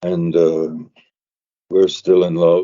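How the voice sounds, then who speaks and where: This man speaks in a very deep, low pitch with monotone, flat intonation. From England. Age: 80s+. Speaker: singer-songwriter. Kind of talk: interview. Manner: halting.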